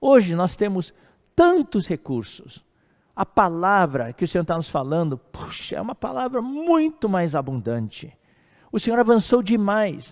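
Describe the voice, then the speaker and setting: Here a man talks at a fairly slow pace and a high pitch, with very wide pitch swings. The recording is very clean, with a silent background. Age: 60s. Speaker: preacher. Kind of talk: sermon. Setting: live stream. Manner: halting.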